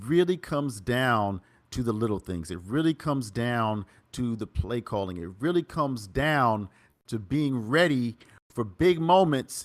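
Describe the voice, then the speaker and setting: An animated man with an East Coast US accent, a medium pitch, and lively intonation, on a very clean recording with a silent background. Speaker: esports commentator. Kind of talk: live commentary wrap-up.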